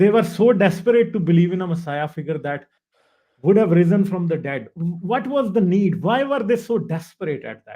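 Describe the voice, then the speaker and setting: A man speaks at a moderate pace with a Punjabi accent, his pitch high and his intonation lively. His tone is dark and mellow, and his loudness swings widely. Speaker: livestream host. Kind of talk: casual interview on livestream.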